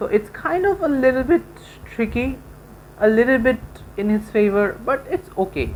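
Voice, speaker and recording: Her pitch high and swinging very widely, a woman with a non-native accent talks at a moderate pace with long, frequent pauses. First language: not English. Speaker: gaming YouTuber. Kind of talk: gameplay commentary. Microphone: poor sound quality.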